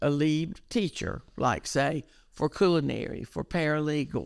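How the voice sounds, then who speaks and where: Here a woman with a Southern US accent speaks at a very deep, low pitch. The recording is very clean, with a silent background. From eastern North Carolina. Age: 70s. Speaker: educational counselor. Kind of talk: interview. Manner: animated.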